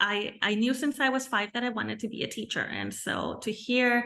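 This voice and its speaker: With a Spanish accent, a woman talks fairly slowly in a fairly high, bright, sharp voice with ordinary pitch variation. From Mexico and California. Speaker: bilingual teacher. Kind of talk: interview.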